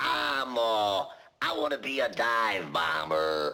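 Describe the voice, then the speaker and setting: A man puts on a gruff character voice at a fairly low pitch. He speaks at a very slow pace. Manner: comic.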